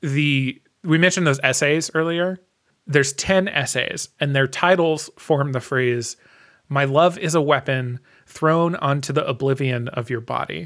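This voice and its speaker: This man has an ordinary speaking voice, fairly high in pitch with ordinary pitch variation. He goes at a fairly slow pace in a very clean recording with a silent background. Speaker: podcast host. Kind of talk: casual chat.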